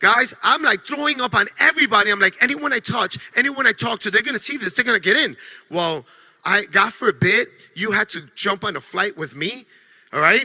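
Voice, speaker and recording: With a New York accent, a high-pitched man speaks in a raised, projected voice, animated in tone with lively intonation, in a dry, close recording with no echo. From New York City. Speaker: network marketing distributor. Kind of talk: motivational training talk. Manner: fast.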